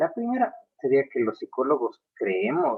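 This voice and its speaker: A man talks at a fairly slow pace. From Ecuador. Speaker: psychology professor. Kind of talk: lecture. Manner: hesitant, many fillers.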